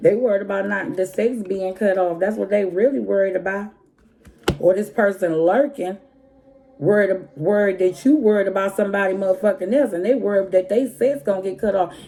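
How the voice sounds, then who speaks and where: A woman at medium pitch and a fairly quick pace, with noticeable background noise. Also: ordinary pitch variation. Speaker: tarot reader. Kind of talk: tarot reading. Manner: animated.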